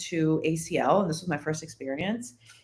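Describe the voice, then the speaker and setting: Audible room echo surrounds a woman speaking in a Spanish accent. Her intonation is lively and her pace moderate. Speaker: podcast guest. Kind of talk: casual chat.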